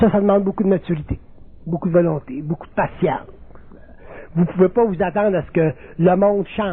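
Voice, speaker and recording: A man with a Quebec accent speaks in a high voice, with ordinary pitch variation. His pace is fairly quick, broken by long, frequent pauses. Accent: Québécois French. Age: 60s. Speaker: spiritual lecturer. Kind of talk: lecture.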